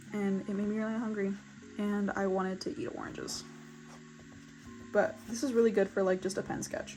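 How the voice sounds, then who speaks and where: A woman at medium pitch and fairly quick pace, with long, frequent pauses and music in the background. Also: ordinary pitch variation. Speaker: artist YouTuber. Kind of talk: casual sketchbook tour chat. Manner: fast; animated.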